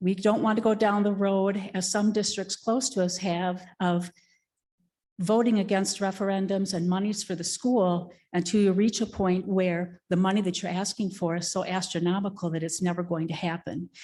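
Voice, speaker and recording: A woman at medium pitch speaks in a dark, mellow tone at a moderate pace, her intonation monotone and flat, with a quiet background. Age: 60s. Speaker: public commenter at school board meeting. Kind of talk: public comment.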